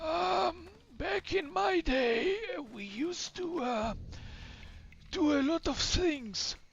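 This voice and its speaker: A put-on character voice moves at a very slow pace, high in pitch and swinging very widely up and down. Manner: rambling, hesitant.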